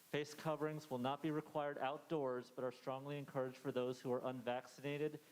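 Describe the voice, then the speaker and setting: A man with an American accent, fairly high in pitch, very fast with hardly any pauses, in a monotone, flat intonation at very even loudness. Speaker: school principal. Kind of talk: presentation to parents.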